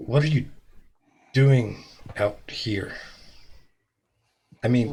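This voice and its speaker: Putting on a raspy character voice, a man talks at a very slow pace and medium pitch with fairly even intonation and long, frequent pauses. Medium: actual play. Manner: hesitant, stammering.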